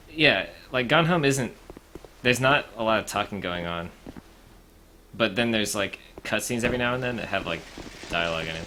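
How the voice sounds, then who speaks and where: Over noticeable background noise, a man of medium pitch speaks at a fairly quick pace with lively intonation and long, frequent pauses. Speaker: game streamer. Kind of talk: gameplay commentary. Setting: live stream. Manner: low-key, measured energy.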